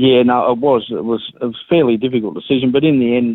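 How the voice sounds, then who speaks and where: This man talks with an Australian accent. His pace is moderate and his intonation fairly even. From Sydney, Australia (Balmain). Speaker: racehorse trainer. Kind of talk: interview. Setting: phone call.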